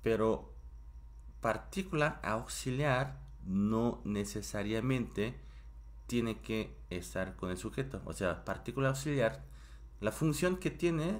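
Very slowly, a man speaks. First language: Korean (speaking Spanish). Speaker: Korean language teacher. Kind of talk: live-streamed language class. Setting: home live stream.

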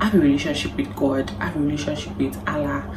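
A woman's voice over loud background noise. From Nigeria. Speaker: lifestyle vlogger. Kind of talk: advice vlog to camera. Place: home room.

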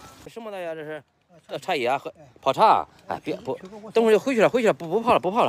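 Over light background noise, a man with a high-pitched voice talks very fast with lively intonation and big swings in loudness, leaving long, frequent pauses. The sound is dry, with no echo. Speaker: vlogger. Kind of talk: casual interview with vendor. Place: market. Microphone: phone near.

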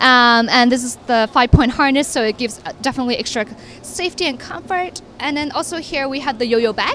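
With light background noise and a dry, echo-free sound, a woman speaks at a fairly quick pace, her high pitch showing ordinary variation. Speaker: stroller brand representative. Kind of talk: product demonstration chat. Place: hall. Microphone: handheld.

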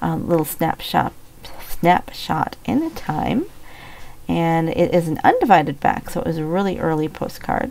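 A woman speaking at a moderate pace against noticeable background noise. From Minnesota. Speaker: online reseller / YouTuber. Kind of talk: casual show-and-tell vlog. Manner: casual, with frequent fillers.

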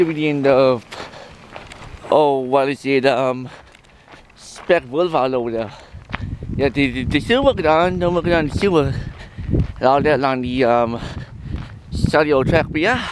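Over noticeable background noise, a man talks at a fairly slow pace with ordinary pitch variation, long, frequent pauses and a dry sound with no echo. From Newfoundland. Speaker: vlogger. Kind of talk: casual vlog talk to camera. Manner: halting, many repetitions and fillers. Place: forest. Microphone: phone near.

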